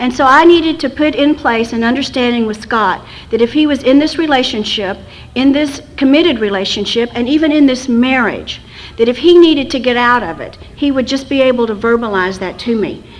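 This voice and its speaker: A woman with a high pitch and ordinary pitch variation at a fairly quick pace, with noticeable background noise. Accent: American. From West Texas. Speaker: recovery fellowship speaker. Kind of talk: recovery talk. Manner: fast.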